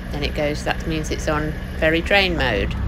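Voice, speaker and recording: The speaker is a woman. There is noticeable background noise behind her. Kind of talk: casual vlog chat. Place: car. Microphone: phone near.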